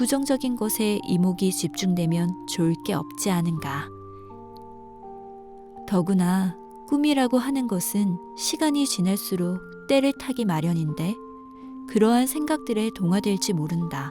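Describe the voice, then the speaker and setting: Calm in tone, a woman speaks at a fairly slow pace with very wide pitch swings and long, frequent pauses while music plays in the background. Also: medium pitch for a woman. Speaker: audiobook narrator. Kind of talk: essay audiobook reading for sleep. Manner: calm, soft-spoken.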